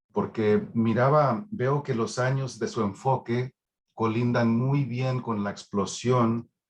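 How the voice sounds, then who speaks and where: The speaker talks at a very slow pace in a Texan accent. Pitch variation is ordinary. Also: man. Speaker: academic audience member. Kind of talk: seminar question.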